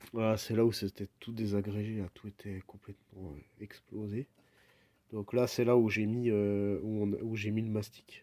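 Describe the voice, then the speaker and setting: The delivery is very slow and monotone, with flat intonation. The tone is dark and mellow. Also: man. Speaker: DIY hobbyist restoring a clock. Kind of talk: casual tutorial voiceover. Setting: at home. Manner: soft-spoken; halting, many hesitations.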